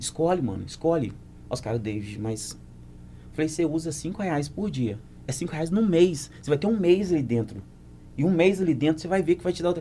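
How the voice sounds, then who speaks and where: A man's fairly high voice at a moderate pace, with lively intonation, a dark, mellow tone and big swings in loudness. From Brazil, Muriaé (Minas Gerais). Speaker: dancer and choreographer. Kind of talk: casual chat.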